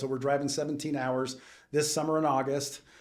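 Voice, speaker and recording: This man's voice sits at a fairly high pitch. Audible room echo surrounds it. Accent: American. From US West Coast, Southern California. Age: 60s. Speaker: business owner. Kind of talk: casual chat.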